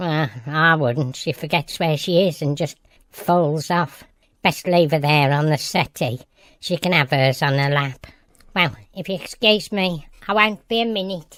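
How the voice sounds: Middle-pitched, put-on character voice. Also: moderate pace, very clean recording, silent background.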